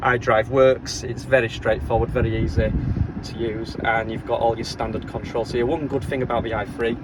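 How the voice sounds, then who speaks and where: Noticeable background noise sits behind a man with a Leeds accent who speaks at medium pitch with fairly even intonation. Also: moderate pace. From Leeds, England. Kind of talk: casual car review to camera. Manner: rambling, hesitant.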